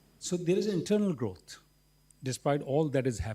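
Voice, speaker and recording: A man with a dark, mellow tone and a somewhat breathy voice speaks at a moderate pace. His intonation is lively. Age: 60s. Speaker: businessman. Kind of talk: panel discussion.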